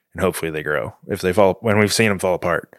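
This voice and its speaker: A man with an American accent speaks in a very deep, low voice. The sound is dry and close, with no echo. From Houston, Texas. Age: 30s. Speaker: photojournalist. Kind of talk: casual interview chat. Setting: hotel room recording.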